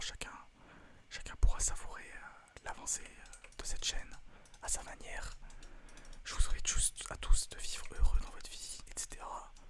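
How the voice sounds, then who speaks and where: Noticeable noise sits in the background. Over it, a man whispers. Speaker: ASMR video creator and gamer. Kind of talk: casual talk to camera. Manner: fast, casual, joking.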